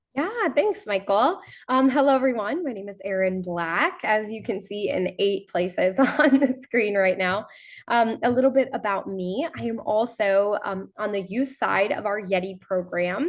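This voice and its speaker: With an unremarkable speaking voice, a woman talks at a moderate pace in a fairly high pitch with lively intonation over a quiet background. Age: 20s. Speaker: youth advocate. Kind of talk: webinar presentation.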